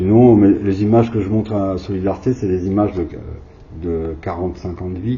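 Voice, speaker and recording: A man talks at a fairly low pitch. His intonation stays fairly even. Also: moderate pace. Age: 60s. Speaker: video artist. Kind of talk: interview. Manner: hesitant.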